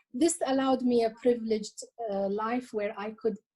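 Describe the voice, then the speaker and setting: A woman speaks at a moderate pace in a fairly high, somewhat breathy voice. Her tone is dark and mellow, with ordinary pitch variation. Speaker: cultural heritage collector and author. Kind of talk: interview. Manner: hesitant, with many fillers and repetitions.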